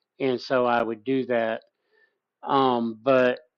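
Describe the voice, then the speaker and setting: Fairly even intonation marks this man's medium-pitched delivery, given in a normal speaking voice. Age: 50s. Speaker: livestream host discussing psychedelics. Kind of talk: casual livestream chat.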